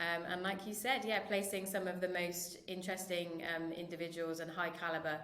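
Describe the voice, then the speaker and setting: A woman with a British accent talks fairly quickly in a fairly low, monotone, flat voice. Noticeable background noise and audible room echo fill the recording. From United Kingdom. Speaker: marketing director. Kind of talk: podcast interview. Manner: hesitant, many fillers.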